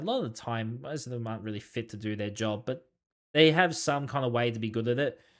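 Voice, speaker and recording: A man with an Australian accent on a very clean recording with a silent background. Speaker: gaming YouTuber. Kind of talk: casual Q&A monologue. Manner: fast, goes off track; halting, many fillers.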